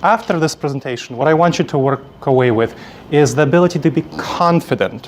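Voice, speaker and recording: Noticeable background noise accompanies a man with a Moldovan accent. He talks at a moderate pace with ordinary pitch variation. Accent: Eastern European (Moldovan). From Moldova, then New York City from age ten. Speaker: conference speaker, coach trainer. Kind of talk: conference presentation. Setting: stage with audience.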